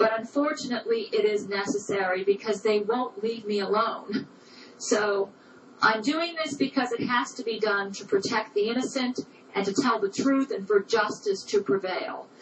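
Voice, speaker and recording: A woman at a fairly high pitch, with noticeable background noise. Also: ordinary pitch variation, moderate pace. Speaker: personal testimony speaker. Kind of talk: recorded personal statement.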